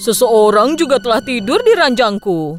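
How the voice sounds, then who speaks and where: A put-on character voice at a fairly high pitch and moderate pace, with faint music in the background. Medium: fan dub.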